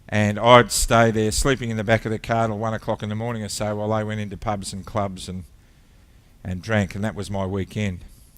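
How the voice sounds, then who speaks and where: A man with an Australian accent speaks at a fairly low pitch with fairly even intonation. The recording is very clean, with a silent background. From Australia (Victoria). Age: 60s. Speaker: ministry founder, former airline captain. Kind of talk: testimony. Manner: halting.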